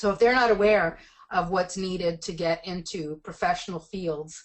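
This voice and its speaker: This woman's voice sits fairly low in pitch, and her intonation stays fairly even. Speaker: education policy researcher presenting a report. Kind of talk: webinar presentation and Q&A. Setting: webinar call. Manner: fast.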